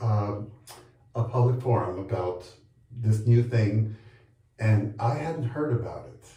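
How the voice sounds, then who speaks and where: A man speaks fairly slowly at a medium pitch, his dark, mellow tone somewhat breathy, with ordinary pitch variation. Long, frequent pauses break up his speech against audible room echo. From Colombia. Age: 60s. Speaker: HIV advocate and long-term survivor. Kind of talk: interview. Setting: bathtub on location in Chicago.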